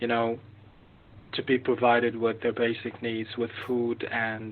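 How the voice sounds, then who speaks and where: A man at medium pitch with an Arabic accent, speaking at a moderate pace. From Gaza, Palestine. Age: 30s. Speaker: journalist. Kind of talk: testimony. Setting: video call. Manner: halting.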